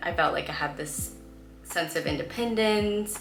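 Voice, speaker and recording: There is music in the background. Over it, a woman talks in a Californian accent. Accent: Californian American English. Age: 20s. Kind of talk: casual storytime talk to camera.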